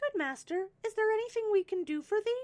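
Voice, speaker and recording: A woman's squeaky put-on character voice at an extremely high pitch and a fairly quick pace. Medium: read story. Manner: deferential.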